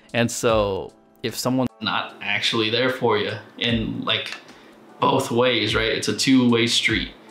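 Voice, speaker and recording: Amid noticeable background noise and audible room echo, a man at medium pitch speaks fairly slowly in a monotone, flat intonation. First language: not English. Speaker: reaction commentator. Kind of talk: casual commentary. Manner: casual, hesitant with self-corrections.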